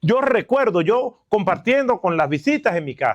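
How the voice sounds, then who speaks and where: Recorded dry and close with no echo, a man speaks with lively intonation. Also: quiet background. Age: 60s. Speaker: guest pastor. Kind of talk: sermon. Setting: church camp.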